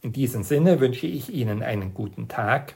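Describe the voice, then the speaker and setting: This man talks at a moderate pace with lively intonation. His voice is somewhat breathy. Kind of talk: scripted devotional talk.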